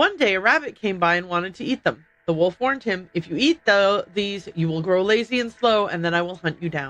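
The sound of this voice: Reading in an unforced voice.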